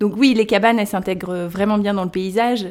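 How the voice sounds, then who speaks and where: A woman with an ordinary speaking voice talks at a medium pitch and a fairly quick pace, with fairly even intonation. The recording is very clean, with a silent background. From Brittany, Erquy area (Côtes-d'Armor). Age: 30s. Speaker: treehouse rental owner. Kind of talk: interview.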